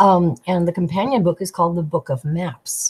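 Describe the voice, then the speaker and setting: A somewhat breathy woman speaks at a moderate pace. Her pitch is fairly low. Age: 60s. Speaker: tarot deck creator. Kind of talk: casual chat.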